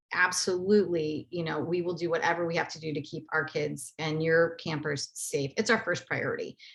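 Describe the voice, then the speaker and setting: A woman's fairly low-pitched voice. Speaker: nonprofit outreach manager. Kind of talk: webinar presentation. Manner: fast; many fillers.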